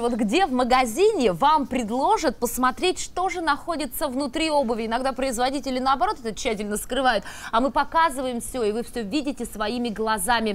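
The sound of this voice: The pace is fairly quick and the intonation lively. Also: woman.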